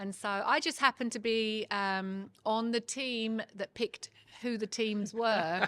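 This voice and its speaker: In a dry, close recording with no echo, a woman speaks with a bright, sharp tone, fairly even intonation, and a fairly slow pace. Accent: Kent. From southeast England, Ashford, Kent. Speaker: venue owner and librarian. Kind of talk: casual interview.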